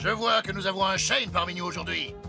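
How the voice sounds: A man does a cartoonish character voice, high-pitched with vocal fry and a bright, sharp tone. He talks at a fairly quick pace with ordinary pitch variation while faint music plays in the background.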